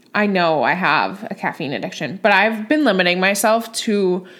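The voice has ordinary pitch variation and an animated tone. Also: woman. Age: 20s. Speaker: nurse and podcast host. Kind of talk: casual chat.

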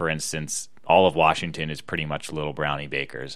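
A man with an American accent speaks at a fairly quick pace in a very deep, low voice, his bright, sharp tone edged with vocal fry. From US Northeast, Philadelphia area. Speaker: podcast co-host. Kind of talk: casual chat. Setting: home recording.

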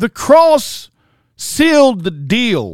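A man at a very slow pace, in a very clean recording with a silent background. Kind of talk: sermon, preacher in full flow. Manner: emphatic, rhetorical, direct appeals to the listener; animated, mimicking a boastful self-righteous voice.

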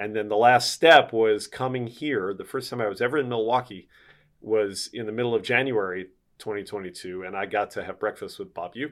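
In an American accent, a man with a normal speaking voice and a medium pitch talks at a fairly quick pace with ordinary pitch variation. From Philadelphia, US. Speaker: baseball play-by-play broadcaster. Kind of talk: interview.

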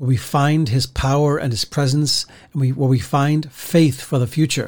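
Somewhat breathy, a man talks at a moderate pace and a fairly high pitch. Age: 50s. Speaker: pastor. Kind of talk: devotional podcast talk. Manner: halting, many repeated words and fillers.

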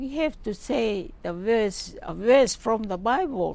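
The woman talks at a very slow pace. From Cook Islands, Pukapuka. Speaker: retired nurse and church deaconess. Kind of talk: testimony. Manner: halting.

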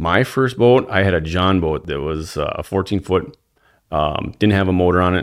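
At a moderate pace, a man with a Wisconsin accent talks in a very deep, low pitch with ordinary variation. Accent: Upper Midwest (Wisconsin). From northeastern Wisconsin. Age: 40s. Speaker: angler and social media fisherman. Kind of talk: casual interview chat.

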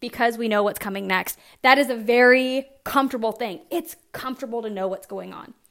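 Someone with a Southern US accent talks at a very fast pace in an animated tone. The recording is very clean, with a silent background. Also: woman. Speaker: fitness coach and podcast host. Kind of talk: casual solo monologue.

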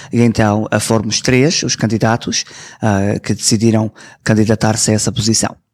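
Dry and close with no echo, this man's voice sits at a fairly low pitch and holds a very even loudness. He speaks at a moderate pace in a monotone, flat intonation. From Toronto, Canada, to Azorean parents. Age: 20s. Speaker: community representative and TV presenter. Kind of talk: interview. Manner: hesitant, many fillers.

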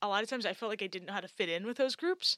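In a New York State accent, a woman speaks at a fairly high pitch, with a dry, close sound and no echo. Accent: American (New York State). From upstate New York. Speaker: podcast co-host, international adoptee. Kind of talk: casual chat.

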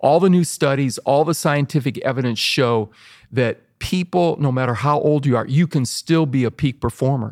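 A man with a plain, everyday voice talks at a moderate pace, fairly high in pitch with ordinary pitch variation. The recording is very clean with a silent background, and the sound is dry and close with no echo. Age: 60s. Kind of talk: casual interview conversation.

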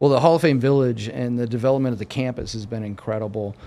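A man's dark, mellow tone with fairly even intonation, on a very clean recording against a silent background. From Erie, Pennsylvania. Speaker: sports agent. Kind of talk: interview. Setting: studio.

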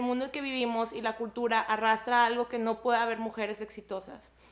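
A woman's high-pitched voice at a moderate pace. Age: 30s. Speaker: entrepreneur. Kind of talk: casual chat.

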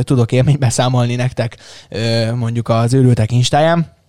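His tone is dark and mellow. The man keeps a moderate pace. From Hungary, Szeged. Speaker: tech podcast host. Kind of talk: casual chat. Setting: studio. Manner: animated.

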